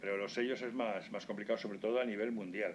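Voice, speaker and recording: A man with a fairly low pitch speaks very fast, his intonation fairly even. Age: 70s. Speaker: stamp collector. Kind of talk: online webinar talk. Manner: halting.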